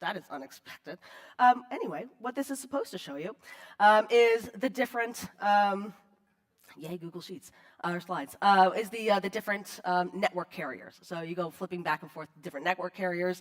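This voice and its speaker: Her intonation lively, a woman talks at medium pitch and a fairly quick pace. Her loudness swings widely. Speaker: conference speaker on digital forensics. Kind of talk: conference talk. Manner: fast; casual, filler-heavy.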